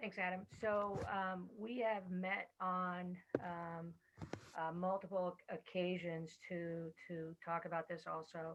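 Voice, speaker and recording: A soft-spoken woman talks very slowly in a fairly low pitch, her intonation monotone and flat. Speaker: school administrator. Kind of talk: meeting report. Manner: halting. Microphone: very quiet, headset not working.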